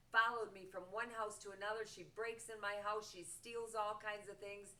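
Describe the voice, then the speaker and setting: Bright and sharp in tone, a woman with an American accent speaks at a fairly high pitch and a moderate pace. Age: 70s. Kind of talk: personal appeal to camera.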